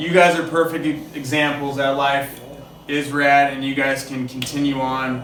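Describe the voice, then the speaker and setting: Over noticeable background noise and audible room echo, a man speaks at a moderate pace in a fairly high, flat monotone. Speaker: podcast host in recovery from addiction. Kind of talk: casual interview chat. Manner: halting, self-interrupting; casual, filler-heavy.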